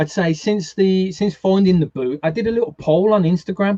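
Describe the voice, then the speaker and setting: A man with a strong Brummie accent speaks at a moderate pace in a dark, mellow tone with ordinary pitch variation. The sound is dry and close, with no echo. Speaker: gaming YouTuber and streamer. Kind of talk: casual chat. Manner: halting, many repeated words.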